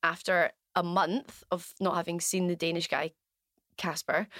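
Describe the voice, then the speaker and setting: In a Glaswegian accent, a woman speaks at a moderate pace and medium pitch with a bright, sharp tone. The recording is very clean with a silent background, and the sound is dry and close with no echo. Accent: Glaswegian Scottish. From Scotland, Glasgow West End. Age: 30s. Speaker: business owner, former diving instructor. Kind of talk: casual interview, personal story.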